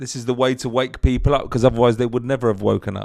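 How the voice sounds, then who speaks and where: A man with a London accent is heard in a very clean recording with a silent background. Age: 50s. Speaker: podcast interviewer. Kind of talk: casual chat.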